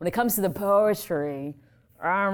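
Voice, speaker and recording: A woman's plain, everyday voice with an American accent and lively intonation. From US, left Vietnam as a child. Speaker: author and poet. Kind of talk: live reading and audience Q&A. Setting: library event with audience.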